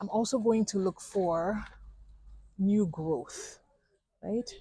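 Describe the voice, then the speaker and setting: Very slowly, a woman speaks in a dark, mellow, somewhat breathy voice of medium pitch, with ordinary pitch variation. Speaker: plant vlogger. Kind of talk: casual vlog tutorial. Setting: plant nursery.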